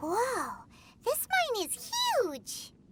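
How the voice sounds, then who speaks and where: Squeaky and extremely high, this put-on character voice has an energetic tone. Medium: video game. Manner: blunt, energetic.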